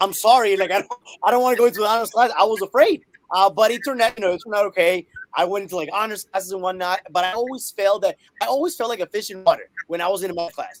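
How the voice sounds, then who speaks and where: Spoken very fast with a Spanish accent and ordinary pitch variation. The sound is dry and close, with no echo. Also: man, high pitch for a man. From Colombia. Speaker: math teacher and author. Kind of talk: interview.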